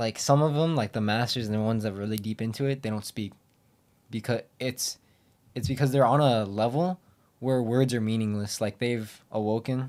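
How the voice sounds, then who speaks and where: A man speaks fairly quickly with an American accent and ordinary pitch variation. He has an ordinary speaking voice. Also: medium pitch for a man, very clean recording, silent background. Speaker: podcast co-host. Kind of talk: casual chat.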